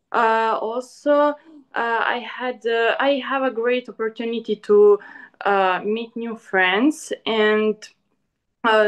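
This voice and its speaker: A woman's fairly high voice, very slow in pace, with fairly even intonation. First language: not English. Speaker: student entrepreneur. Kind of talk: online panel presentation. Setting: online event. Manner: halting.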